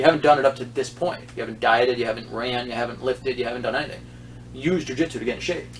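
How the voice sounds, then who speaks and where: Over noticeable background noise, a man speaks very fast at a medium pitch with ordinary pitch variation. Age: 50s. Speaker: jiu-jitsu instructor and podcast host. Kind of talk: casual chat.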